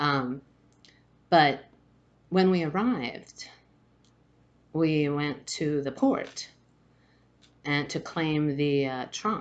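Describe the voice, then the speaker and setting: With long, frequent pauses, a woman speaks at a very slow pace in a very deep, low voice with ordinary pitch variation. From Spain, Madrid. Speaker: spiritual vlogger. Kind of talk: personal storytelling. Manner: halting, many fillers and restarts.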